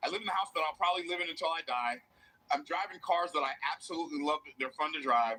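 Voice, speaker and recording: High-pitched and animated, a man speaks at a very fast pace with ordinary pitch variation. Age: 60s. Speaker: motivational business speaker. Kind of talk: motivational speech. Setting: stage with audience.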